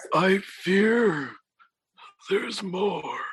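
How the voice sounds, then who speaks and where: A raspy, put-on character voice with ordinary pitch variation carries the delivery. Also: man, high pitch for a man. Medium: actual play. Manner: grave, commanding.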